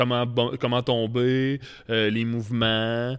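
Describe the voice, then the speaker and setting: A man speaks in a normal speaking voice at a medium pitch with fairly even intonation. The recording is very clean, with a silent background. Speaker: pro wrestler and brewer. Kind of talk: casual chat. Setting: brewery.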